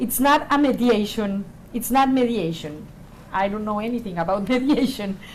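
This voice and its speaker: A woman with a non-native accent speaks at a moderate pace in a fairly high pitch. Audible room echo surrounds her voice. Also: ordinary pitch variation. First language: not English. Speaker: panelist, peacebuilding organization. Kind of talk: panel discussion. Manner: halting, many fillers.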